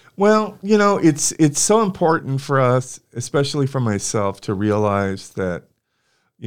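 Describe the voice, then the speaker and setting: With a Californian accent, a man speaks at a fairly slow pace. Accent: Californian American English. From California (Santa Barbara). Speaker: university administrator and political scientist. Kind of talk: interview conversation.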